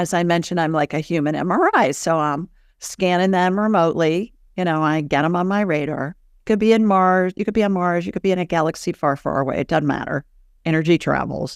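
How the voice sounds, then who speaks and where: Over a very clean recording with a silent background, a woman talks at a fairly quick pace. She has a fairly low pitch, ordinary pitch variation, and an ordinary speaking voice. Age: 60s. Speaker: psychic and medical intuitive. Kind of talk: interview.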